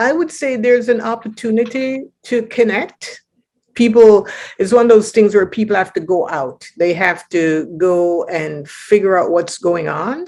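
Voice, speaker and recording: A woman speaks at a medium pitch with lively intonation. It is a plain, everyday voice. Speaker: poet and spoken word performer. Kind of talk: interview answer. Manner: casual, conversational.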